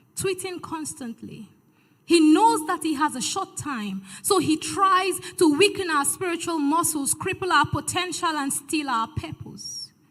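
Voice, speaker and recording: A woman speaks at an extremely high pitch with lively intonation. Her pace is fairly slow. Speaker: spoken word poet. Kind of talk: spoken word poetry performance at a church event.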